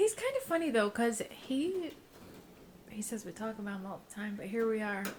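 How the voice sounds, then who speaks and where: A woman speaks at a fairly high pitch with lively intonation. Her voice is somewhat breathy and swings widely in loudness. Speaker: podcast co-host. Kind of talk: casual chat. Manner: fast.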